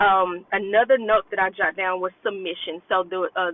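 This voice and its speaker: A woman has an unremarkable speaking voice at a medium pitch. She talks at a fairly slow pace. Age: 30s. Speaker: self-love coach. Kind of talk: casual vlog monologue. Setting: in a car. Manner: conversational with fillers.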